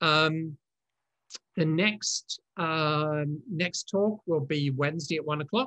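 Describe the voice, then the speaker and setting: A man talks at a very slow pace with long, frequent pauses against a quiet background. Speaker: online lecturer on writing systems. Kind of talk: live online talk Q&A. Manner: halting, many fillers. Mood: warm, pleased, lightly humorous. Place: home room. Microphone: webcam.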